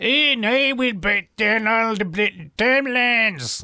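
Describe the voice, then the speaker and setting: In a put-on character voice with a Scottish accent, a man speaks at a fairly slow pace in a high pitch, the sound dry and close with no echo. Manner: hardline, dismissive.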